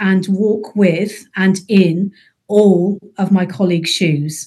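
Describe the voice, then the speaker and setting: In a British accent, a woman speaks at a fairly slow pace with a somewhat breathy, dark, mellow voice at medium pitch and ordinary pitch variation. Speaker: NHS executive, chief people officer. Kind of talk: casual professional discussion.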